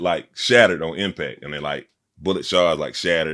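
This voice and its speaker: A man talks at a fairly quick pace with vocal fry. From Montgomery, Alabama (US South). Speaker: rapper. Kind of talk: casual interview. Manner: loud; energetic.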